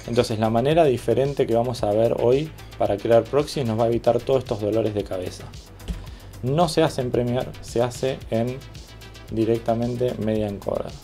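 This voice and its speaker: A man's medium-pitched voice at a moderate pace, with music playing behind it. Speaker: video editor. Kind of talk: software tutorial narration.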